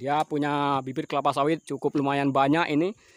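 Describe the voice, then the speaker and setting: The man's voice sounds dry with no echo as he talks at a moderate pace. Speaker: vlogger. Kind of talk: casual vlog chat. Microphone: phone near.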